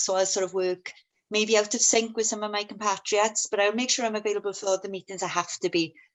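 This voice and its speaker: In a Welsh accent, a woman talks at a medium pitch with monotone, flat intonation. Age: 40s. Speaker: union member, steel industry worker. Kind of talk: testimony. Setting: video call webinar.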